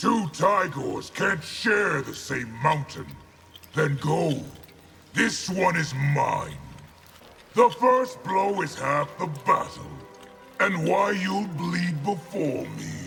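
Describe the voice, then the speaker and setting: Putting on a character voice, a man talks at a very slow pace and a high pitch while faint music plays in the background. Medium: short film. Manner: deep, solemn, formal.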